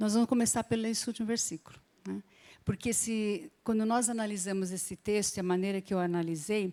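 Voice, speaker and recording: With an unremarkable speaking voice, a woman speaks at a medium pitch and a fairly quick pace, using ordinary pitch variation, in a dry, close sound with no echo. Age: 60s. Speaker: Bible teacher. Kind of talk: Bible class teaching.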